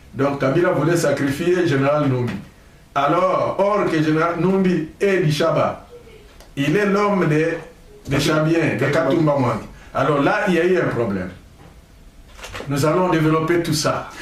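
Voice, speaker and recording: With noticeable background noise and audible room echo, a man speaks at a fairly slow pace, leaving long, frequent pauses. His pitch is fairly high with ordinary variation, and his loudness stays very even. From DR Congo, Maniema. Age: 60s. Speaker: political commentator, engineer. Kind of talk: political talk show interview.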